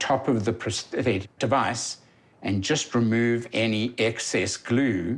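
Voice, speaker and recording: Here a man with a South African accent speaks at a medium pitch. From South Africa, Johannesburg. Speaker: patient. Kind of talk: testimony.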